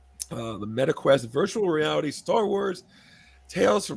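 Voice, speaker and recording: A man speaks with very wide pitch swings over noticeable background noise. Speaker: podcast co-host. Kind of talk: casual chat.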